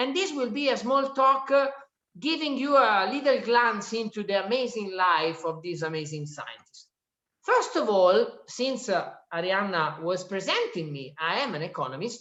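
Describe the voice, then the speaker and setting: In an Italian accent, a woman with a fairly high pitch speaks at a moderate pace with very wide pitch swings, and audible room echo is present. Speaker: economist and author giving a talk. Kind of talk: lecture. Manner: halting, with frequent fillers.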